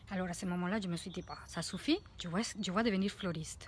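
A woman with a Spanish accent speaks at a fairly quick pace in a somewhat breathy voice, with light background noise and a dry sound that has no echo. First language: Spanish (speaking French). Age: 40s. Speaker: life coach; coach. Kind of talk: vlog monologue. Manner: halting. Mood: warm, reflective. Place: garden. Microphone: phone near.

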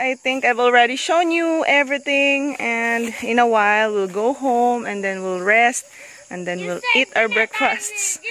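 A woman's high-pitched voice with very wide pitch swings at a very slow pace, dry with no echo, over light background noise. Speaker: family vlogger. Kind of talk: casual vlog chat. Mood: cheerful, laughing. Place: open country. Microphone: phone near.

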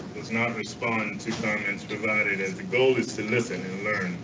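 Noticeable noise sits behind a man who talks at a moderate speed. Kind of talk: reading a formal statement. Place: hall.

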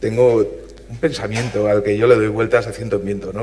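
A plain, everyday voice from a man, fairly low in pitch, at a moderate pace with fairly even intonation. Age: 40s. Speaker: physicist and panel moderator; panel moderator. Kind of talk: panel moderation. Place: hall.

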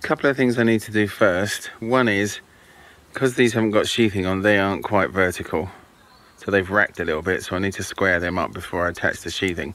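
This is a plain, everyday voice at a fairly quick pace with ordinary pitch variation, recorded dry with no echo. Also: man, fairly low pitch for a man. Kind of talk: casual vlog chat. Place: garden. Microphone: phone near.

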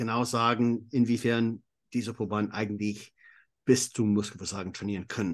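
A man's voice sits at a medium pitch. Nothing stirs in the background. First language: English (speaking German). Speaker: exercise physiologist and coach. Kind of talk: interview. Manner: halting.

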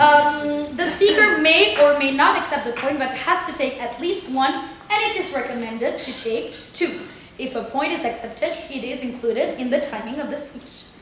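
A moderate pace with hardly any pauses and big swings in loudness, plus light background noise and audible room echo. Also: woman, high pitch for a woman. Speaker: debate chair. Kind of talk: formal announcement of rules. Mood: playful, formal. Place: classroom. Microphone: camera far.

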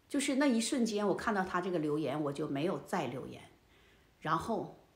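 The voice makes very wide pitch swings, with audible room echo around it. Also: woman. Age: 60s. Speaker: elderly lifestyle vlogger. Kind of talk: casual monologue to camera. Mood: indignant, storytelling. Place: home room.

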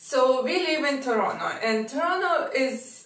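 A woman's voice with ordinary pitch variation and audible room echo. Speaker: lifestyle vlogger. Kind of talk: casual vlog chat. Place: home room.

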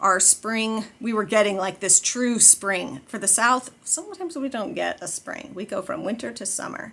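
A woman's pitch varies in an ordinary way as she talks at a moderate pace. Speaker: family vlogger. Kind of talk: casual vlog chat. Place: home room. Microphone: phone near.

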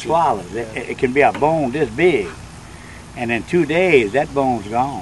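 With a South Louisiana accent, a man talks at a fairly slow pace and with lively intonation over noticeable background noise. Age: 70s. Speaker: nuisance alligator hunter. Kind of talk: interview answer.

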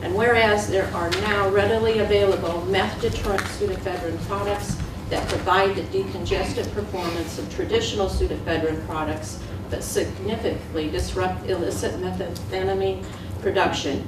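Female voice amid noticeable background noise, audible room echo around it. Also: moderate pace. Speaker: county commission president. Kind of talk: reading aloud. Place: meeting room.

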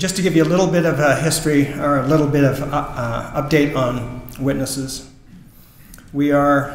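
Amid light background noise and audible room echo, a man speaks at a moderate pace with fairly even intonation. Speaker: presenter. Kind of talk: presentation speech to audience. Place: church. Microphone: podium.

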